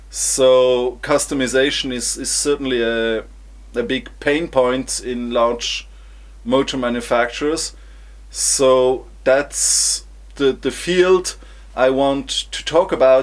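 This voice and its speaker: Someone with a non-native accent speaks at a very slow pace. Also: man. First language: German. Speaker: engineer vlogger. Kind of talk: vlog presentation. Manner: halting, with repetitions.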